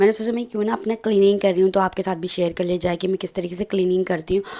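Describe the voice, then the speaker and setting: A woman's dark, mellow voice keeps a fairly even intonation. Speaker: vlogger. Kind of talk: casual vlog talk. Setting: at home.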